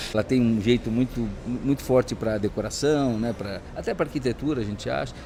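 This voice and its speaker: Over noticeable background noise, a man talks at a fairly quick pace, his medium pitch showing ordinary variation. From Brazil, São Paulo. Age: 60s. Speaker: entrepreneur and business coach. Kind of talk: interview. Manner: hesitant, many fillers.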